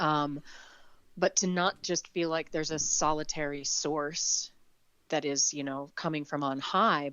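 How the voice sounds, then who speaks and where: The pace is fairly slow. A woman talks with fairly even intonation. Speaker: audiobook narrator. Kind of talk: interview answer. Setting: remote call, home recording.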